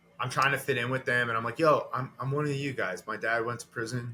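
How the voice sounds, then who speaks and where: At a fairly quick pace, a man speaks at medium pitch over noticeable background noise. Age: 30s. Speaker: comedian. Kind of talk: casual chat; stand-up.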